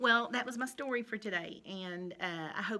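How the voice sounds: Ordinary pitch movement in a natural reading voice.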